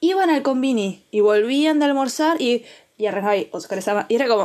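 A woman speaks with a high pitch that swings very widely. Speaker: podcast co-host. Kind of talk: casual chat.

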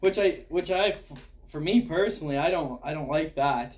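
A man talks at a moderate pace in a plain, everyday voice, his intonation lively. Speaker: hockey podcast host. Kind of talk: casual chat.

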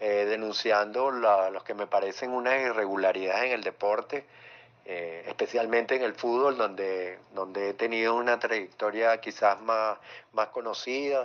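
A man with an ordinary speaking voice and a medium pitch speaks at a fairly slow pace with fairly even intonation. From Venezuela, Caracas. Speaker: sports journalist. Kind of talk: interview. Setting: virtual studio, remote call.

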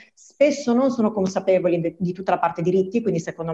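There's noticeable background noise behind this woman's voice. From Veneto, province of Treviso. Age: 40s. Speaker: bank employee. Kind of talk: radio interview.

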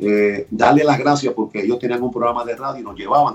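Very fast delivery with fairly even intonation. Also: man. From Puerto Rico, Barranquitas. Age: 50s. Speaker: sports radio host. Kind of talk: casual interview.

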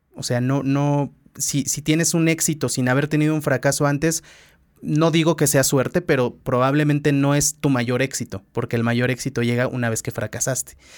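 Recorded very cleanly against a silent background, a man speaks at a moderate pace with a fairly high pitch and fairly even intonation. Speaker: podcast host, former radio host. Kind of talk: casual interview conversation.

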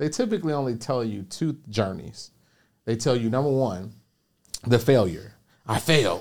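Here is a man with an American accent and an unremarkable speaking voice, talking at a moderate pace. His pitch varies in an ordinary way, and the recording is very clean with a silent background. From Chicago, South Side. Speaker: online business coach. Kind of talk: interview. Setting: studio.

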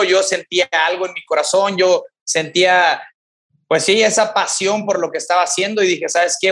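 A man talks at a moderate pace in a high voice. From Mexico, Tamaulipas (rural ejido near Ciudad Victoria). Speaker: CrossFit coach and gym owner. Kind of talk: interview testimony. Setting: remote call.

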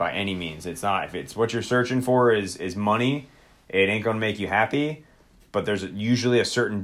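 A man speaks in an ordinary speaking voice at a moderate pace, with ordinary pitch variation. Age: 30s. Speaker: podcast co-host and army soldier. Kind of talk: casual chat. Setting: live stream on social video app.

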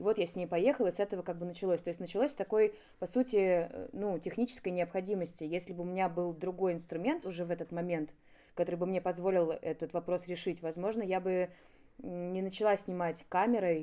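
At a very fast pace, a woman of medium pitch talks in a dark, mellow tone with ordinary pitch variation. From Moscow, Russia. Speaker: photographer. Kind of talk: casual chat.

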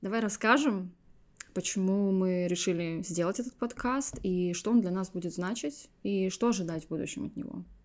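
In a very clean recording with a silent background, a woman uses an ordinary speaking voice at medium pitch, with ordinary pitch variation and a moderate pace. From Estonia, small town. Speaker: podcast co-host, content producer. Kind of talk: casual chat.

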